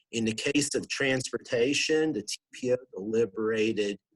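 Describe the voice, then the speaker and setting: This man has a Pennsylvania accent and a medium pitch. His pitch varies in an ordinary way. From Southwestern Pennsylvania. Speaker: regional planning director. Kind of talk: interview.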